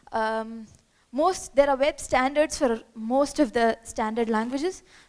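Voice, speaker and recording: In a Keralan accent, the speaker talks at a moderate pace with ordinary pitch variation. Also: woman. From India, Kerala. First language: Malayalam. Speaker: software developer, conference speaker. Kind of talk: conference talk. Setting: stage with audience. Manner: animated.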